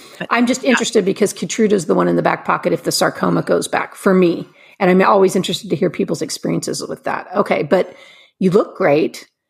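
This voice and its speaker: A woman speaks very fast at a medium pitch, with vocal fry. Her pitch varies in an ordinary way. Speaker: podcast host. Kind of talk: casual interview. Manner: warm, friendly.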